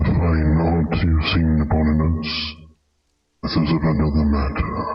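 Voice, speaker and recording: Here a man puts on a character voice. It sits at a very deep, low pitch. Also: moderate pace. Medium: game stream. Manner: measured, formal, cryptic.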